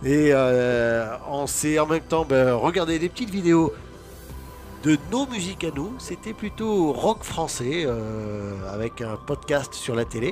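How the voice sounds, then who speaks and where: Music plays behind a man with a fairly high pitch. He talks at a very slow pace, with very wide pitch swings. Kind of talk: casual vlog talk to camera.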